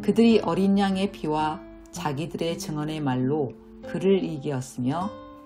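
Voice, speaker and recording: With music in the background, a woman talks at a fairly slow pace, her fairly low pitch making very wide swings. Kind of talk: religious book reading.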